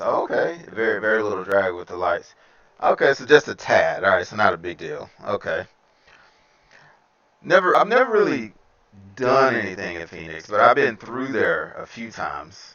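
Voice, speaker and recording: Relaxed in tone, a man speaks with a Southern US accent. His loudness swings widely. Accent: Southern US accent, noticeable. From Alabama. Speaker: flight sim streamer. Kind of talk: casual live-stream chat with flight commentary. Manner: relaxed, conversational with fillers.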